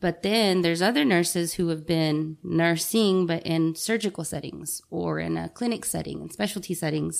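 In an unremarkable speaking voice, a woman talks at a moderate pace with hardly any pauses, a fairly low pitch and ordinary pitch variation, on a very clean recording with a silent background. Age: 30s. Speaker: nurse. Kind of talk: casual chat.

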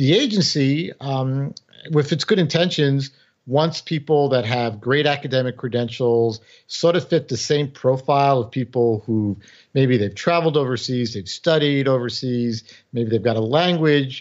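A man with an American accent speaks in a plain, everyday voice at medium pitch. His pace is moderate and his pitch variation ordinary. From New York City, the Bronx. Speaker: former intelligence officer and author. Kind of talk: interview.

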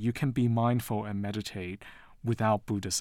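This man has a normal speaking voice with an American accent, fairly low in pitch and fairly even in intonation. The recording is very clean, with a silent background. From Taiwan and the US. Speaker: professor. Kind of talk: interview.

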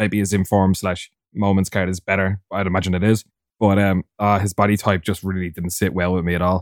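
In a very clean recording with a silent background and a dry, close sound with no echo, a man with a very deep, low pitch talks at a fairly quick pace in a flat monotone. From Ireland. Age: 20s. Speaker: competitive FIFA player. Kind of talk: casual chat.

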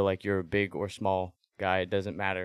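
A man with a plain, everyday voice and a fairly low pitch speaks at a moderate pace, the sound dry and close with no echo on a very clean recording with a silent background. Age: 20s. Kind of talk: casual interview.

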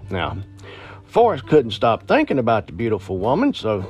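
Over music in the background, a man speaks in a relaxed tone at a fairly low pitch. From Appalachia. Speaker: podcast host and storyteller. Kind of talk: ghost story telling, folksy spooky storytelling to listeners. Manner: conversational, relaxed, storyteller pacing.

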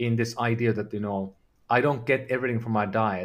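A man speaks with a Finnish accent. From Finland. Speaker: health tech company founder. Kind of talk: interview. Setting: video call.

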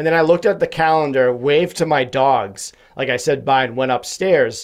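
A man's voice with ordinary pitch variation. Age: 30s. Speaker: podcast host and mental health advocate. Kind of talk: casual interview conversation. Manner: high-energy.

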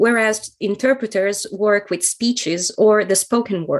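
A woman's fairly high voice with an Italian accent, at a fairly slow pace. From central Italy (Ancona). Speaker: translator and interpreter. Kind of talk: podcast interview.

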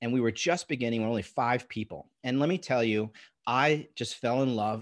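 A man with an American accent and an unremarkable speaking voice talks fairly quickly at a medium pitch. His pitch variation is ordinary, and the recording is very clean with a silent background. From Long Island, New York. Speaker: ed tech founder. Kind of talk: interview.

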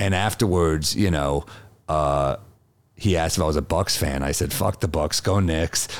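Speaking with a New York accent, a man with a very deep, low pitch talks at a moderate pace with ordinary pitch variation and very even loudness. Noticeable background noise is present. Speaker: comedian. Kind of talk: casual chat.

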